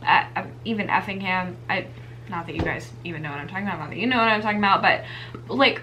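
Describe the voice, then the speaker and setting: Very wide pitch swings at a very fast pace with an American accent, plus noticeable background noise and audible room echo. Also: woman, medium pitch for a woman, big swings in loudness. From Savannah, Georgia, US South. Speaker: knitting podcast co-host. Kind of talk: casual chat.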